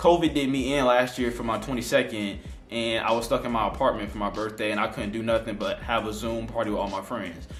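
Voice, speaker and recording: A man speaks in an animated tone with ordinary pitch variation. Music plays in the background, and there is audible room echo. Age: 20s. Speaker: YouTuber. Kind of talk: casual vlog monologue. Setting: at home on couch.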